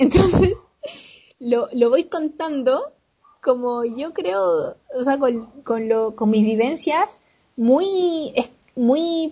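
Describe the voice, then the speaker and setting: A woman with a Chilean accent, high-pitched, with lively intonation and a very slow pace. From Chile, Valparaíso. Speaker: author and traveler. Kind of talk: interview, casual chat.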